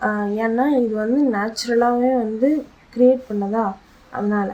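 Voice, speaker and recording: Soft-spoken, a woman speaks at a fairly high pitch with fairly even intonation. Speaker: vlogger. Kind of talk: casual vlog monologue. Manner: halting.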